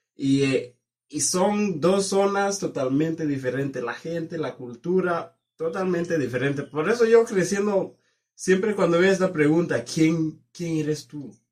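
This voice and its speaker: A man talks at a high pitch. His pace is fairly slow. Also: ordinary pitch variation. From southern Kenya. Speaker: university student. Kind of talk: casual interview. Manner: halting.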